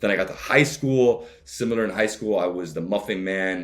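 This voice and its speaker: Using a Miami accent, a man talks at a moderate pace and a fairly low pitch with ordinary pitch variation. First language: Spanish. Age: 30s. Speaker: travel vlogger. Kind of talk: interview. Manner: many fillers and restarts.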